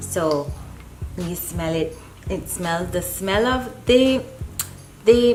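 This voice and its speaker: A woman's very slow speech with lively intonation, over noticeable background noise. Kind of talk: casual talk to camera.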